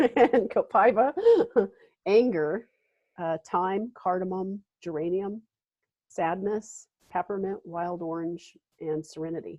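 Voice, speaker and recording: At a very slow pace, a woman with a medium pitch and ordinary pitch variation speaks with long, frequent pauses and big swings in loudness. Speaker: wellness practitioner, essential oils and tapping. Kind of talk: webinar presentation. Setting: live webinar, video call.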